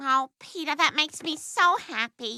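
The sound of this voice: Putting on a cartoonish character voice, a female-sounding speaker talks at a moderate pace with a high pitch.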